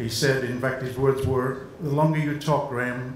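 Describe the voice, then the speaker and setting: A man speaks at a fairly quick pace in a medium pitch with monotone, flat intonation, with audible room echo and noticeable background noise. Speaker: sports journalist. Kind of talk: award acceptance speech. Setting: stage with audience.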